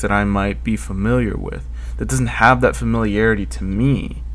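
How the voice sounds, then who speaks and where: A man with vocal fry talks at a moderate pace, with audible room echo in the background. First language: Spanish. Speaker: podcast host, college student. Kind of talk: solo podcast monologue. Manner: casual, with fillers and restarts.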